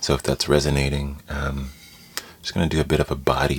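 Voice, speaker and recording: Over noticeable background noise, a man speaks at a moderate pace in a very deep, low monotone. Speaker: meditation teacher. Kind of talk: guided meditation. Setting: live stream recorded, Instagram.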